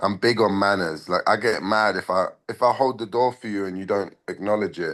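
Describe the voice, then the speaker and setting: With a Cockney accent, a man speaks in an animated tone at a fairly low pitch. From England, London. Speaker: MMA fighter. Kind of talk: casual interview.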